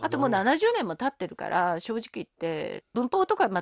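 Dry and close with no echo, a woman's fairly high voice moves at a moderate pace. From South Korea. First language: Korean (speaking Japanese). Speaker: linguistics professor. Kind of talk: interview.

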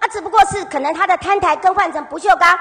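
A woman's extremely high, raised and projected voice in a Taiwanese accent at a fairly quick pace, with noticeable background noise. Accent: Taiwanese Mandarin. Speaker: city councillor. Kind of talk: council interpellation. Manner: combative.

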